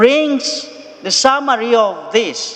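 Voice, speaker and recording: A man speaks over noticeable background noise. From Kenya. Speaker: missionary priest. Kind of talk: sermon. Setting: church.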